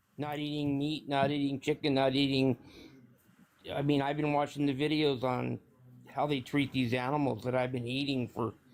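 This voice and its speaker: At a moderate pace, a man with a fairly high pitch speaks in a monotone, flat way. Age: 60s. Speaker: caller on a live stream. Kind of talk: casual chat. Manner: halting.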